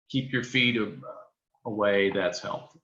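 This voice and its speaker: There is audible room echo as a man speaks at a fairly slow pace. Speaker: poultry specialist. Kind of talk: lecture.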